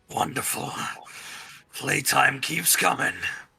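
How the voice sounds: A man puts on a nasal, raspy character voice. He speaks at a fairly slow pace.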